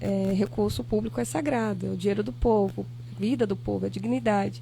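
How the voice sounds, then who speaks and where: Soft-spoken at a moderate pace, a woman is heard with audible room echo. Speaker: former local politician. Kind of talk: podcast interview.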